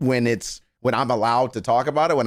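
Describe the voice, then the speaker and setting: A man is heard on a very clean recording with a silent background. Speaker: livestreamer reacting to celebrity news. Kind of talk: casual livestream chat. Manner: animated ranting.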